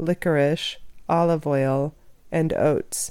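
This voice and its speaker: Her voice sits fairly low for a woman, with a dark, mellow tone and ordinary pitch variation, captured on a very clean recording with a silent background. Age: 40s. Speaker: chiropractor and nutritionist. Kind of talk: scripted narration.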